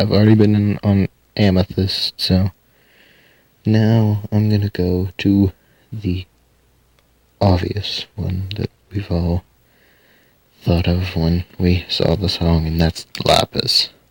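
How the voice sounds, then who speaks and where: A man with a fairly low voice speaks in a monotone, flat manner at a very slow pace with long, frequent pauses, the sound dry and close with no echo. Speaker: youtuber discussing a cartoon. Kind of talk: casual video commentary. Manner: halting, self-correcting.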